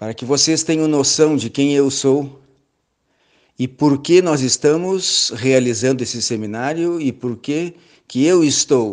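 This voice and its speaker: A man talks at a very slow pace with long, frequent pauses. His pitch is fairly high, with ordinary pitch variation. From southern Brazil, Rio Grande do Sul (Pelotas). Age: 60s. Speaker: church elder and seminar lecturer. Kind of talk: lecture. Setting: online seminar.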